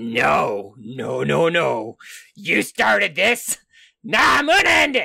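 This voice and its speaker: A man uses a put-on character voice that sounds raspy. He speaks at a fairly slow pace. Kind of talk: comic overacting. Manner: indignant, grumbling, increasingly angry.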